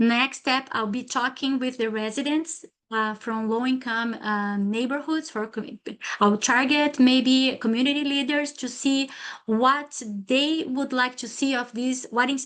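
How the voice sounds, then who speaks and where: In a Brazilian Portuguese accent, the speaker keeps a fairly even intonation against a quiet background. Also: woman. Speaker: PhD student presenter. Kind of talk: academic seminar talk. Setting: lunchtime seminar with audience. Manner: halting, many fillers.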